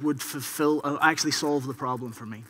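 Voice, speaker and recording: A man speaks in a fairly high pitch with ordinary pitch variation and an Irish accent. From Ireland. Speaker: infrastructure engineer, conference speaker. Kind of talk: keynote talk. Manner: conversational, frequent 'okay?' tags.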